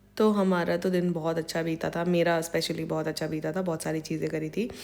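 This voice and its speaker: Flat, monotone delivery at a moderate pace. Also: woman, fairly low pitch for a woman. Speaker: vlogger. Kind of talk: vlog narration. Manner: casual, code-switching Hindi-English.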